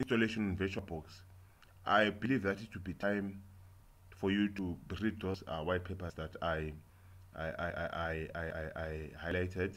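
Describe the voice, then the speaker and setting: A man with a very deep, low pitch speaks with fairly even intonation and long, frequent pauses. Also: moderate pace, very clean recording, silent background. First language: not English. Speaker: software tutorial maker. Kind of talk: tutorial. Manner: halting, many fillers and repetitions.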